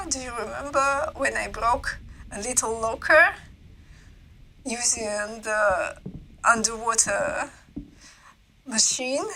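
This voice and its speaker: A woman's raised, projected voice in a non-native accent. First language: not English. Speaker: gaming video creator. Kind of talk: game walkthrough voiceover commentary. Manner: casual, with hesitations and repetitions.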